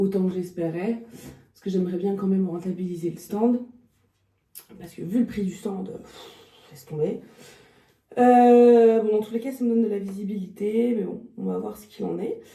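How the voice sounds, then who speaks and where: A woman speaks at a moderate pace in a somewhat breathy, dark and mellow voice, her intonation fairly even. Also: medium pitch for a woman, big swings in loudness. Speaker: dog trainer and behaviourist vlogger. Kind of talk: casual vlog talk to camera. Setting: at her stand at a dog show. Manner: hesitant, many filler sounds.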